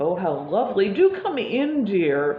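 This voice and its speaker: Doing a put-on character voice at a medium pitch, a woman cackles in a croaky way at a moderate pace, with very wide pitch swings over clear background noise. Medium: read story. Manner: falsely sweet.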